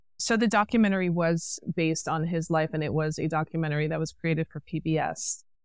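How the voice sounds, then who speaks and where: A woman's fairly low voice at a very fast pace, with hardly any pauses and ordinary pitch variation, on a very clean recording with a silent background. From New York City. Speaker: actress and producer. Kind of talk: casual interview chat.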